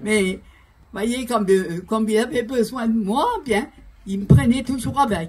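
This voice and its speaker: Amid noticeable background noise, a woman with a fairly high pitch speaks at a fairly slow pace, with ordinary pitch variation and long, frequent pauses. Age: 80s+. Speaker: pastor's widow giving testimony. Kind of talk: testimony. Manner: halting.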